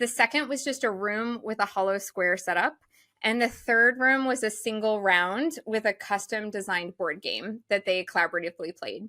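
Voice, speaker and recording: A woman's bright, sharp, animated voice, fairly high in pitch, with ordinary pitch variation. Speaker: event designer and consultant. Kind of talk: podcast interview. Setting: studio. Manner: fast.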